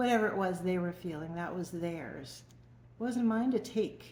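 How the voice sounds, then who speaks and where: Moderate-paced speech from a woman with a fairly low voice, plus audible echo in the room. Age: 60s. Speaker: emotional wellness coach. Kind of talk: personal testimony to camera. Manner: conversational, informal.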